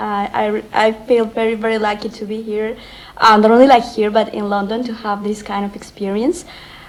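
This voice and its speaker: A woman at a fairly high pitch and moderate pace, with noticeable background noise. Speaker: graduate student. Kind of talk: speech. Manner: halting.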